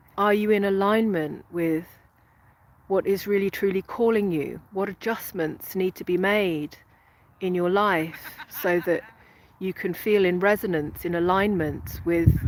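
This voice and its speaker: A woman's medium-pitched voice in a British accent, fairly slow and fairly even in intonation. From England. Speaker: spiritual coach. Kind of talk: live stream talk. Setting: outdoors. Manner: halting.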